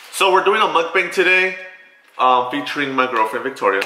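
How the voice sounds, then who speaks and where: A man speaks in a high voice. Light background noise and audible room echo surround him. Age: 20s. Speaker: vlogger. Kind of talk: casual chat. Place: kitchen. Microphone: camera far.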